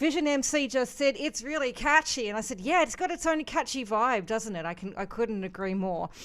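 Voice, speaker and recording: A woman with an Australian accent talks at a fairly quick pace in a high pitch with very wide pitch swings and hardly any pauses, on a very clean recording with a silent background. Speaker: music reaction show host. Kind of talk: live stream music commentary. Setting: live stream.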